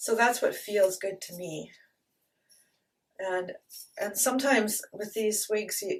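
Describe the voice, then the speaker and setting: A woman with a Canadian accent talks at a fairly slow pace in a fairly high voice, with ordinary pitch variation and big swings in loudness. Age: 60s. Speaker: beauty vlogger. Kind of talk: product review tutorial. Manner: casual, chatty with hesitations.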